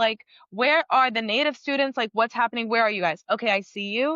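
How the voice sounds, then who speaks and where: A woman at a fairly high pitch, fairly quick in pace, with ordinary pitch variation. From Los Angeles, born in Puerto Rico. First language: Spanish. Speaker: actor and singer. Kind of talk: interview conversation. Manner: animated.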